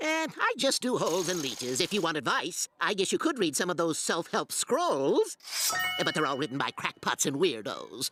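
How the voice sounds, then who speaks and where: At a moderate pace, this cartoonish character voice sits at a middle pitch. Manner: salesy, offhand.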